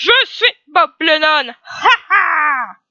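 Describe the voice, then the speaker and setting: A put-on character voice shouts at a high pitch. It is loud throughout. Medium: read story. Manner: loud, shouting.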